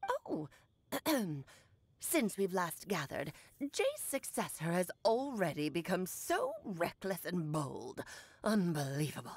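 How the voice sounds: A woman's put-on character voice at medium pitch, broken by long, frequent pauses. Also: fairly slow pace.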